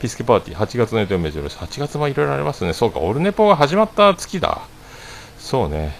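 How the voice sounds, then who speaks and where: Over noticeable background noise, a man with a medium pitch races along at a very fast pace with very wide pitch swings. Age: 40s. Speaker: livestreamer, former restaurant owner. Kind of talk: casual solo livestream chat. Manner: rambling with many fillers.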